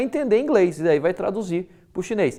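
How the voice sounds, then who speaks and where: A man with a Brazilian accent at a fairly quick pace against a quiet background. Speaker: university lecturer. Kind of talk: lecture. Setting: recorded video lesson. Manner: casual, conversational with frequent fillers.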